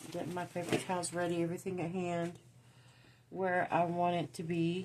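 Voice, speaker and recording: A woman speaks with a Southern US accent. Her intonation is monotone and flat. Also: fairly low pitch for a woman, moderate pace. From US South (Georgia and Tennessee). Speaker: crafting YouTuber. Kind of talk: tutorial. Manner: casual, halting.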